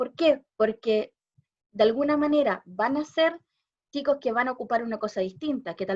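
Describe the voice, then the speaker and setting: Her intonation lively, a woman speaks. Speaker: special education teacher, visual impairment expert. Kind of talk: talk at a panel discussion. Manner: fast.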